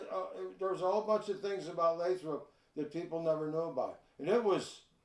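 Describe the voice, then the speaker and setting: Speaking very fast, a man with an American accent uses a high pitch and fairly even intonation. Noticeable background noise runs underneath. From Chicago, north side. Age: 70s. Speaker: retired park supervisor. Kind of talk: casual interview.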